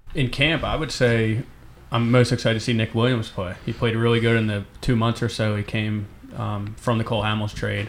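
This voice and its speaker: In a Philadelphia accent, a man talks with fairly even intonation. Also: medium pitch for a man, fairly quick pace. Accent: Philadelphia, noticeable. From Northeast Philadelphia. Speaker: baseball beat writer. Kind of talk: casual sports talk chat.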